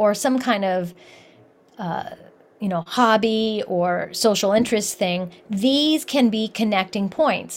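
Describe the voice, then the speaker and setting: With an American accent, a woman speaks very slowly at a fairly high pitch with ordinary pitch variation. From US Midwest, Columbus, Ohio. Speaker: cross-cultural consultant and author. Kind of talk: interview.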